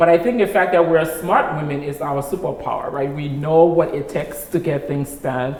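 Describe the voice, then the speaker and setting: At a moderate pace, a woman talks with a very deep, low pitch amid noticeable background noise and audible room echo. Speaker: nonprofit executive director. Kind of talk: interview conversation.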